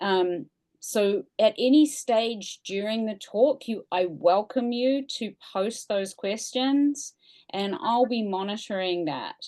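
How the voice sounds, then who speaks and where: Against a quiet background, a dark, mellow voice with a New Zealand accent speaks at a very slow pace. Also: woman, fairly high pitch for a woman. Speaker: museum staff, event host. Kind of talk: event introduction.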